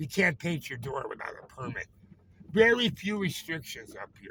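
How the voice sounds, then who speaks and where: A man with an American accent has a high pitch and lively intonation. His tone is bright and sharp. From Chicago, US. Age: 70s. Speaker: vlogger. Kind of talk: casual vlog monologue. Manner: rambling, halting.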